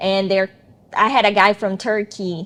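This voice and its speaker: With a strong non-native accent, the speaker keeps a fairly even intonation. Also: woman. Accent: thick foreign. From Brazil. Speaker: attorney, former student. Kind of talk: interview.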